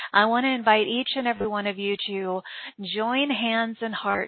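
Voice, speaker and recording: Fairly high in pitch, a woman speaks at a moderate pace in a plain, everyday voice. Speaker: podcast host. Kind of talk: spiritual broadcast intro and interview. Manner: warm, upbeat, flowery.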